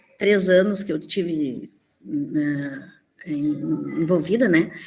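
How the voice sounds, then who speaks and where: Somewhat breathy and dark, mellow in tone, a woman speaks at a very slow pace. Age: 60s. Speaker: primary school teacher. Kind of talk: conference presentation.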